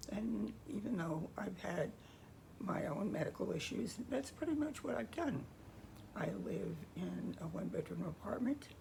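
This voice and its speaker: Noticeable background noise surrounds a woman talking at a fairly slow pace. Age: 80s+. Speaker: freelance editor, coach and author. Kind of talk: casual talk to camera.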